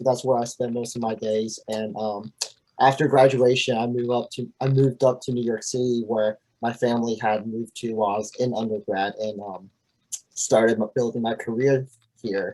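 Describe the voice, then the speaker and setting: Here a man talks at a moderate pace with medium pitch. His tone is dark and mellow, and his intonation is monotone and flat. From China, raised in southwest Virginia from about age 8. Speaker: alumnus presenter. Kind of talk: virtual event presentation.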